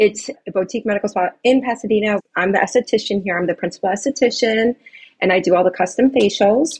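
At a very fast pace, a somewhat breathy woman of medium pitch speaks with ordinary pitch variation in a dry, close sound with no echo. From Chicago. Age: 40s. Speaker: esthetician and spa owner. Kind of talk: interview.

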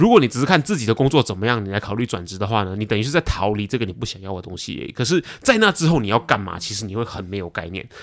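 A man with a fairly low pitch talks very fast, hardly pausing at all. His intonation is lively, his loudness swings widely, and the recording is very clean over a silent background. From Malaysia. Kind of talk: casual chat.

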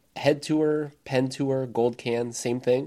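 With an American accent, a man speaks in a dark, mellow tone. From United States. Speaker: tennis podcast co-host. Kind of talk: casual chat.

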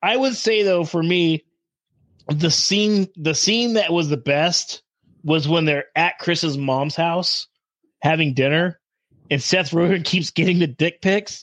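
A man speaks very slowly in a high pitch, with ordinary pitch variation. The sound is dry and close with no echo, and the background is quiet. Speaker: guest takeover host. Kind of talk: casual chat, profane banter.

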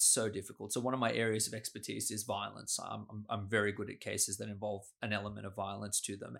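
A man with an Australian accent at a fairly quick pace, on a very clean recording against a silent background. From Sydney, Australia. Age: 30s. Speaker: criminal lawyer. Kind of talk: interview conversation. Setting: office.

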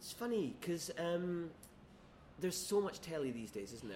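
Over noticeable background noise and audible room echo, a man with a fairly high voice talks at a fairly quick pace, his pitch swinging very widely. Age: 30s. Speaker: screenwriter. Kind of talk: casual chat. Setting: quiet bar.

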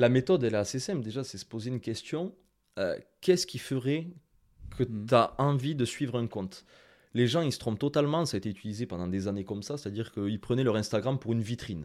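With a strong Toulouse accent, a man talks at a very fast pace and a medium pitch with lively intonation, recorded very cleanly against a silent background. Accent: southern French (Toulouse), strong. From France, Toulouse. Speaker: Instagram marketing consultant and trainer. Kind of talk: interview. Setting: video studio.

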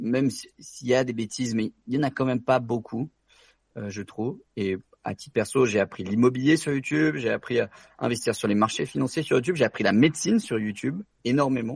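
With a plain, everyday voice, a man at medium pitch talks fairly quickly with lively intonation, in a dry, close sound with no echo. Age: 20s. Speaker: doctor and real estate investor. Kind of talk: interview.

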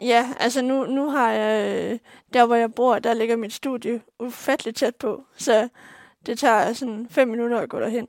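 A woman's fairly slow, monotone, flat delivery, dry and close with no echo, on a very clean recording with a silent background. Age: 20s. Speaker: visually impaired student. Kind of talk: interview. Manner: hesitant, many fillers.

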